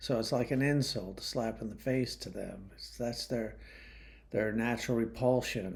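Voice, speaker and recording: Vocal fry runs through a man's medium-pitched voice. He speaks at a fairly slow pace with ordinary pitch variation. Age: 60s. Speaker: YouTube commentator. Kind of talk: monologue commentary. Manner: casual, hesitant with fillers.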